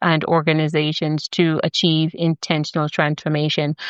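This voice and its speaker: The delivery keeps a moderate pace with monotone, flat intonation. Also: woman. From Jamaica. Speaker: podcast host; leadership consultant. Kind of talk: podcast introduction.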